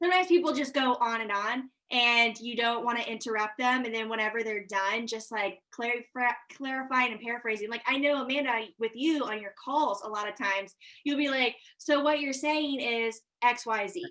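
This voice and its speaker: Her voice is high and bright with a sharp tone, and the woman's pitch varies in an ordinary way. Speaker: real estate agent. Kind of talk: casual chat. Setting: video call. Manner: fast.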